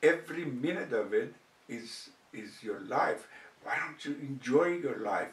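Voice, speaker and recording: A very slow, fairly high-pitched male voice amid noticeable background noise and audible room echo. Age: 70s. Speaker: cancer survivor vlogger. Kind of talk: personal storytelling. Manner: hesitant with fillers.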